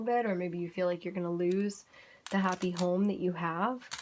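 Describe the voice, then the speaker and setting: A woman talks at a fairly quick pace in a monotone with flat intonation. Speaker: tarot card reader. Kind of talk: tarot reading monologue. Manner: tripping over words.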